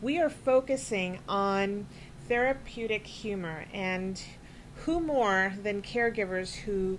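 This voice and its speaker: Over light background noise, a woman speaks at medium pitch with ordinary pitch variation. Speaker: web show host. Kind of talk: interview. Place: studio. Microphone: studio mic.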